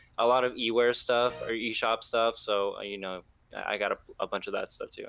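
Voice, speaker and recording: Music plays in the background behind a man. He speaks at a fairly quick pace. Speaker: gaming enthusiast guest. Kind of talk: casual chat. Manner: hesitant, many fillers.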